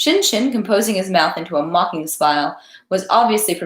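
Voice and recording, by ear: The text is read aloud in a natural voice. Its intonation is lively.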